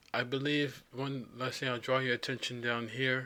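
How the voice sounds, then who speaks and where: The voice has a bright, sharp tone delivered in a flat monotone. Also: man. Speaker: language tutorial presenter. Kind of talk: screen-recorded tutorial. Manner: halting, many fillers.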